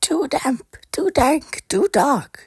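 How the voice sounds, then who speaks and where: The voice is a put-on character voice, pitched high. It sounds squeaky. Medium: read story.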